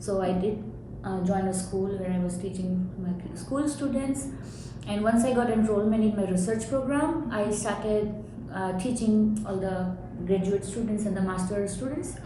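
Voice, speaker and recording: With an Indian accent, a woman speaks at medium pitch and a moderate pace, with audible room echo and noticeable background noise. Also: ordinary pitch variation. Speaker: professor. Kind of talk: interview. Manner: halting.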